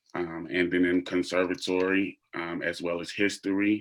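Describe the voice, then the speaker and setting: On a very clean recording with a silent background, a man speaks fairly slowly in a very deep, low pitch with monotone, flat intonation. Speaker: actor and theater educator. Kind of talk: panel discussion. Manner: halting, many fillers.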